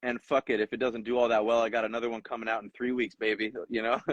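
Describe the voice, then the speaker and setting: The speech comes very fast in a flat monotone, with a dry, close sound and no echo. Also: man. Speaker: rapper. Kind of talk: casual interview.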